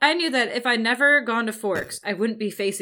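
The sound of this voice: In an unforced reading voice, the speaker's pitch varies an ordinary amount.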